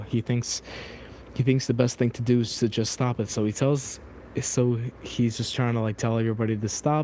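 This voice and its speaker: This man's medium-pitched delivery stays monotone and flat. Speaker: streamer. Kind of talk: emotional venting monologue. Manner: halting.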